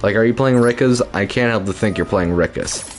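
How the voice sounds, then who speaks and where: A man speaks at a fairly low pitch with music playing in the background. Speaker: video game streamer. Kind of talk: casual live-stream gameplay commentary. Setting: home apartment at midnight. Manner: quiet, keeping voice down for roommate.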